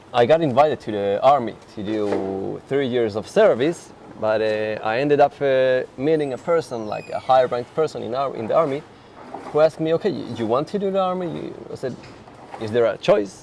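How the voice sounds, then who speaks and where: A man at medium pitch talks over noticeable background noise. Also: lively intonation, moderate pace. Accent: Finnish. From Finland. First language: Finnish. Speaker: interview guest. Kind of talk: casual interview. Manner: halting, many repetitions.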